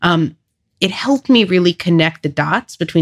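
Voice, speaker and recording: A woman speaks at a moderate pace with a slight New York accent, her voice dry and close with no echo on a very clean recording over a silent background. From Long Island, New York. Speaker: nonprofit CEO. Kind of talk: interview.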